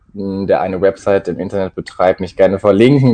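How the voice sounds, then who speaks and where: The voice has a dark, mellow tone. It moves at a fairly quick pace with monotone, flat intonation. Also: man. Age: 20s. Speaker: student. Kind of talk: interview.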